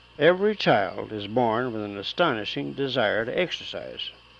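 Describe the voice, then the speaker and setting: A man with an American accent and an unremarkable speaking voice talks at a moderate pace with lively intonation. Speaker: amateur lecturer and builder, musician. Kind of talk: lecture-style talk on health and exercise. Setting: old home reel-to-reel tape recording.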